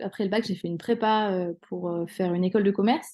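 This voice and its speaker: A woman speaks at a medium pitch with a dark, mellow tone and a monotone, flat delivery over a quiet background. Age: 30s. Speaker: hypnotherapist. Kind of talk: interview. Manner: hesitant, many fillers.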